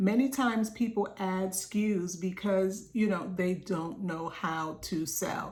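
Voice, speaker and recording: A woman with a medium-pitched, somewhat breathy voice speaks at a fairly slow pace with hardly any pauses and ordinary pitch variation. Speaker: business coach. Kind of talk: group coaching talk.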